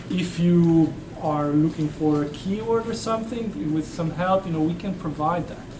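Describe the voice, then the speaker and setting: A man's fairly high voice with a non-native accent, at a fairly slow pace, with audible room echo and noticeable background noise. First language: not English. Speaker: university professor. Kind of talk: classroom Q&A. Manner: halting, with frequent repeats and fillers.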